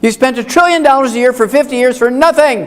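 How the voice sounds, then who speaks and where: A man's extremely high, animated voice at a very fast pace, with noticeable background noise. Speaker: health lecturer. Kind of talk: lecture.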